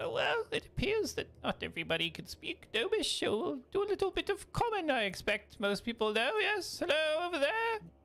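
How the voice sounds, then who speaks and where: In a put-on character voice, the speaker goes at a fairly quick pace with extremely high pitch and very wide pitch swings. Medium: actual play. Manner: jovial, welcoming.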